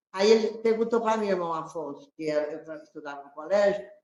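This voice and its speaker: A woman is talking. The variation in her pitch is ordinary. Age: 70s. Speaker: guest sharing family memories. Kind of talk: conversation circle, reminiscing. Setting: spiritist center, small audience.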